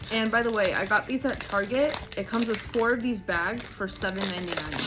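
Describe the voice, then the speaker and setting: Over noticeable background noise, a woman with an American accent talks at a fairly quick pace in a fairly high pitch. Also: ordinary pitch variation. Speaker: vlogger. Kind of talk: casual vlog. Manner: chatty, casual.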